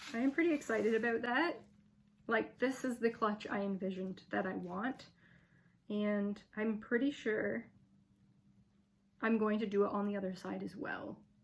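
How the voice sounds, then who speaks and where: A woman speaks at a moderate pace in a fairly high, somewhat breathy voice. Her pitch varies in an ordinary way, broken by long, frequent pauses. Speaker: fibre artist and craft tutor. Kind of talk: tutorial. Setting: home craft studio. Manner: casual, chatty.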